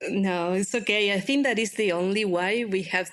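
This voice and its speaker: The speaker has a Spanish accent and a moderate pace. The intonation stays fairly even. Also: woman. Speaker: open-source community manager. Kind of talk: podcast interview.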